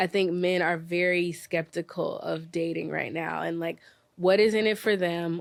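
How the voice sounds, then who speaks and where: A woman with an American accent, fairly low in pitch, with monotone, flat intonation on a very clean recording with a silent background. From US South (Memphis, Tennessee). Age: 20s. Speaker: dating events founder. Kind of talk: podcast interview.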